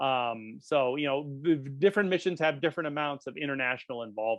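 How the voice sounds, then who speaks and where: Speaking at a fairly quick pace, a man uses a fairly high pitch with ordinary variation. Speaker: planetary scientist. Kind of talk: lecture Q&A. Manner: fast.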